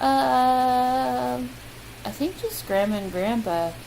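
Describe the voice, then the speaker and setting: A woman speaks with noticeable background noise. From US Midwest. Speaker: vlogger. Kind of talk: casual chat. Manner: casual, hesitant with many ums.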